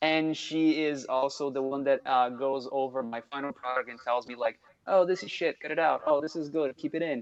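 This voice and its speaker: Speaking at a moderate pace with hardly any pauses, a man with a Portuguese accent has a fairly high pitch and fairly even intonation. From Brazil. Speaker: music producer. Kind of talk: casual interview. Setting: live stream from home studio. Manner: halting with fillers. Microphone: echo.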